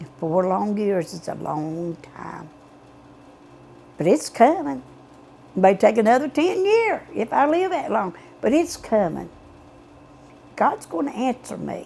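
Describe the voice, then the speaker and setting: At a fairly slow pace with long, frequent pauses, a woman with an Appalachian accent speaks in a fairly high pitch, her loudness swinging widely. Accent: Appalachian Southern US. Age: 70s. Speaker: mother of missing men. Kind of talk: interview testimony. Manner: halting.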